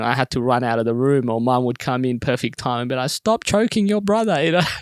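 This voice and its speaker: Here a man speaks with an Australian accent at a medium pitch. His pace is very fast, with ordinary pitch variation. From Sudan (Khartoum), then Perth, Australia from about age ten. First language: Arabic. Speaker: comedian. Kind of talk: casual interview. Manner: many fillers (um, uh, you know).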